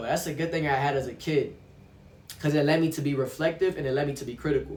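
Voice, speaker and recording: At a fairly quick pace, a man with a fairly high pitch speaks amid noticeable background noise and audible room echo. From Brazil. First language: Portuguese. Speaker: vlogger. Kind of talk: casual monologue vlog. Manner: halting, with restarts.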